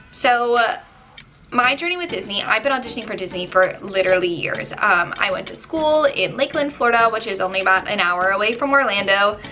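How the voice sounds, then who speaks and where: A woman with an American accent talks at a fairly quick pace and fairly high pitch. Her intonation is lively, and there is noticeable background noise. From US Northeast, New Jersey. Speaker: vlogger and theme park performer. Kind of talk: casual vlog talk. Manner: casual with frequent fillers.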